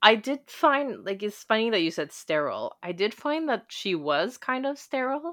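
The woman's pitch swings very widely. She talks at a moderate pace. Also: quiet background. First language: not Italian; childhood in Rome from eight to twelve. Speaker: podcast co-host, scholar. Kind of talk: casual book discussion.

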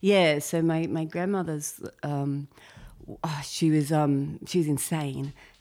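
A woman with an Australian accent speaks very slowly in a very deep, low pitch, with a dark, mellow tone. Her intonation is fairly even, and the recording is very clean with a silent background. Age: 40s. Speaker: comedian. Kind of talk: casual chat.

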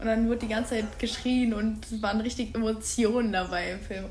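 Audible room echo and noticeable background noise surround a woman whose fairly high voice stays monotone and flat at a moderate pace. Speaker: podcast co-host, exchange student. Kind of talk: casual chat. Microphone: far from recorder at end.

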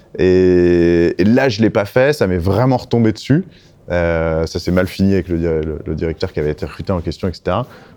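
A man's very deep, low voice in a dark, mellow tone, at a moderate pace with ordinary pitch variation and a quiet background. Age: 40s. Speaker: recruitment and employer branding specialist. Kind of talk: interview.

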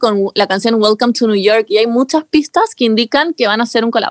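A woman with a Chilean accent at a fairly quick pace, in a dry, close sound with no echo. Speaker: podcast co-host. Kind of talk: casual chat.

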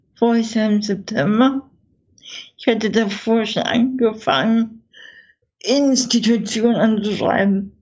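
Speaking at a very slow pace with long, frequent pauses, a woman sounds somewhat breathy, keeping very even loudness and ordinary pitch variation. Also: fairly high pitch for a woman. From Saxony, eastern Germany (Görlitz, Dresden). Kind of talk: interview, personal life story.

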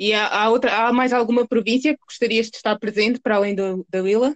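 A woman speaks in a normal speaking voice, pitched fairly high, at a moderate pace. Her pitch varies in an ordinary way, and the sound is dry and close with no echo. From Portugal. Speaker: podcast host. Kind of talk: interview.

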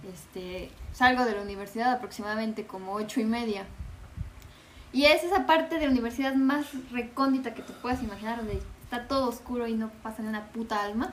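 A woman with a fairly high pitch and ordinary pitch variation at a very fast pace, with big swings in loudness, audible room echo and noticeable background noise. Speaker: podcast guest. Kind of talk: casual chat.

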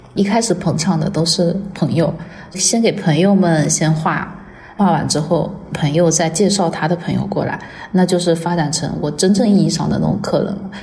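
At a moderate pace with fairly even intonation, the voice comes through noticeable background noise and audible room echo. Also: woman, fairly low pitch for a woman. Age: 30s. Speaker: makeup artist. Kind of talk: personal testimony.

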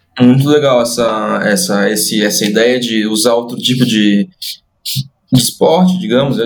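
The speaker is a man. His voice rests at a medium pitch. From Brazil, Santa Catarina. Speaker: podcast host and football coach. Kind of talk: podcast interview. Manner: hesitant, repeats words.

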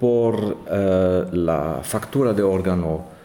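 This voice has a German accent. The tone is dark and mellow. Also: man. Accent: German accent, non-native Spanish. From Germany. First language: German (speaking Spanish). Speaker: organist and organ professor. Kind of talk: interview. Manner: halting with many hesitations.

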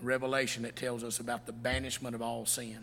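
With a Southern US accent, a man talks at a fairly quick pace in a bright, sharp tone, his medium pitch held monotone and flat, with audible room echo. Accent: US South. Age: 50s. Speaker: pastor. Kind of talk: sermon. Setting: church.

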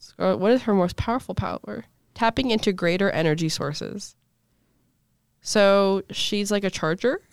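The speaker has an animated tone, big swings in loudness and a moderate pace, heard in a very clean recording with a silent background and a dry, close sound with no echo. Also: woman, medium pitch for a woman, ordinary pitch variation. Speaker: podcast host. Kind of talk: casual chat. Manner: joking, animated.

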